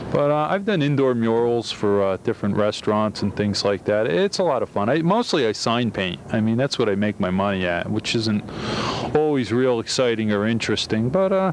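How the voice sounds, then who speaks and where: A man at a fairly quick pace, dry sound with no echo, and noticeable background noise. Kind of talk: interview answer. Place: street. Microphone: handheld.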